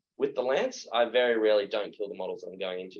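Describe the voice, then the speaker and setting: Speaking very fast, a man talks with an Australian accent. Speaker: tabletop wargaming player. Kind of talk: casual podcast chat. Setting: in person recording together.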